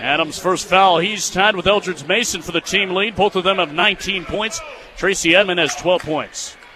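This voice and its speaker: A man's raised, projected voice, high in pitch, with an American accent, moderate pace, fairly even intonation and noticeable background noise. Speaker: college radio sports play-by-play broadcaster. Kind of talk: basketball radio play-by-play.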